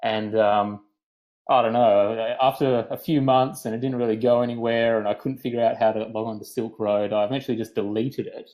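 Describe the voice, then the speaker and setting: A man with a Western Australian accent speaks at a fairly quick pace. His medium pitch stays fairly even in intonation. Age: 30s. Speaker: podcast guest. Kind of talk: casual chat. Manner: halting, repeats words.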